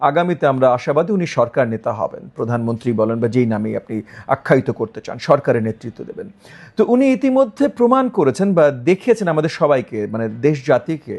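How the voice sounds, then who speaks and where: Very wide pitch swings from a man whose voice sits fairly high. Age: 50s. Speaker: politician. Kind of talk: interview.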